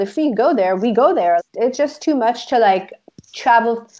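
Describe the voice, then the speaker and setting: Speaking at a moderate pace with an Israeli accent, a woman uses a high pitch and very wide pitch swings. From Israel, moved to the US as a child. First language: Hebrew. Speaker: life coach. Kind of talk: casual interview.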